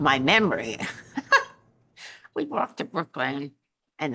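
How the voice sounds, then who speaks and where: At a fairly slow pace, a woman speaks with very wide pitch swings. Her tone is bright and sharp. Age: 80s+. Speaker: university archivist. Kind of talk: interview reminiscence.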